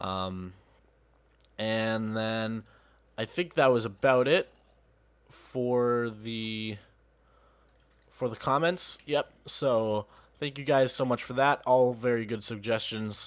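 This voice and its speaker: In a very clean recording with a silent background, a man of medium pitch speaks at a very slow pace, leaving long, frequent pauses. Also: ordinary pitch variation. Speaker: gaming youtuber. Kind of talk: casual let's play commentary.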